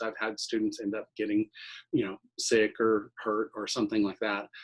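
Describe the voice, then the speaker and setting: A man talking at a moderate pace. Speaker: chemistry professor. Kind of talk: lecture. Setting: video call. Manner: loud; halting, many fillers.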